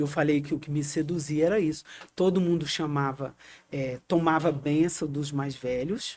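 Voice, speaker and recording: A woman talks at a moderate pace in a very deep, low pitch with fairly even intonation. The recording is very clean, with a silent background. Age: 60s. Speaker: historian and communicator, activist. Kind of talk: interview.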